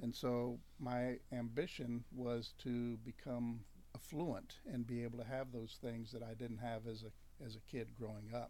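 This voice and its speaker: A man speaks in a monotone with flat intonation and a medium pitch. His tone is dark and mellow, and the room echo is audible. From US Deep South (Louisiana). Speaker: campus ministry staff worker. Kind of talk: radio interview. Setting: radio studio.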